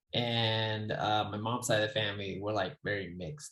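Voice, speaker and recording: A man with an American accent speaks in a plain, everyday voice at a fairly low pitch. The recording is very clean, with a silent background. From Phoenix, US. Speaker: product designer. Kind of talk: casual chat.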